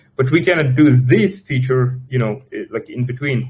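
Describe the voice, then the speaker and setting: A somewhat breathy man in a Russian accent speaks at medium pitch and a moderate pace, with ordinary pitch variation. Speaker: crypto project team member. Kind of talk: live Q&A session. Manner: halting, many fillers and repetitions.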